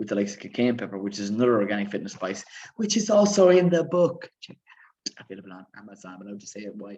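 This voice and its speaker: A man with an Irish accent talks at a very fast pace in a dark, mellow tone with lively intonation. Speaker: fitness coach and author. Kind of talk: live stream Q&A. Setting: live stream.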